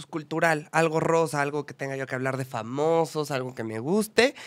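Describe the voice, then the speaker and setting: Over a quiet background, a man with a central Mexican accent speaks at a moderate pace. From Mexico, Puebla. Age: 20s. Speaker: journalist and actor; podcast guest, journalist. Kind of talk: interview. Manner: expressive. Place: studio. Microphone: studio mic.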